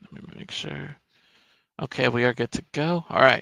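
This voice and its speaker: A man's medium-pitched voice with vocal fry at a moderate pace, dry and close with no echo. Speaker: TV show recap streamer. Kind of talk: live stream recap show. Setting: live stream, lights off. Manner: monotone.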